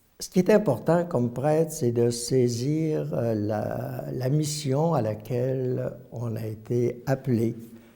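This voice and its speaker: A man's lively intonation at a very slow pace, over noticeable background noise. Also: medium pitch for a man. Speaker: retired priest. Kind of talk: testimony. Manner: halting, many hesitations.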